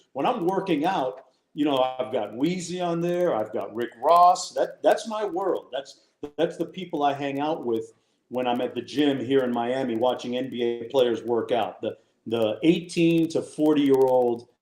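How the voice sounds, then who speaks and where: With music in the background, a man speaks at a moderate pace, with a fairly high pitch and lively intonation. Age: 60s. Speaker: sports broadcaster. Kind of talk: casual chat.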